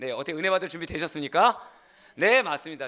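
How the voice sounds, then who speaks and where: A man's bright, sharp-toned voice. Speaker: senior pastor. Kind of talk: sermon. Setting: church. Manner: animated.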